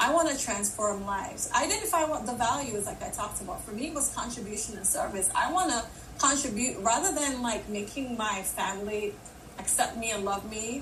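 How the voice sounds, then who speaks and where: In a fairly high pitch, a woman talks at a fairly quick pace with lively intonation. Background noise is noticeable, and the room echo can be heard. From Jamaica. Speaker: leadership coach and keynote speaker. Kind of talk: live audio room discussion. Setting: LinkedIn live audio room.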